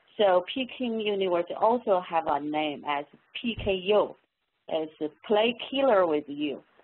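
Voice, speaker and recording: A woman's medium-pitched voice with a Chinese accent. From China. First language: Mandarin Chinese. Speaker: professor. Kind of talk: webinar talk. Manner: halting.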